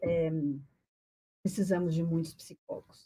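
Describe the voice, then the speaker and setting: Somewhat breathy and dark, mellow in tone, a woman talks at a moderate pace. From Brazil, Paraná (Curitiba). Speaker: psychologist. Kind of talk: podcast interview. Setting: studio, live on radio.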